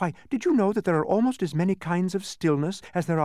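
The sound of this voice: Lively intonation in an unforced reading voice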